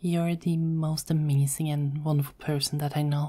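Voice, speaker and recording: A soft-spoken woman with a very deep, low voice speaks in a monotone, flat, dark, mellow and somewhat breathy way on a very clean recording with a silent background. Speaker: ASMR roleplay voice artist. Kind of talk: ASMR girlfriend roleplay. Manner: soft-spoken, calming.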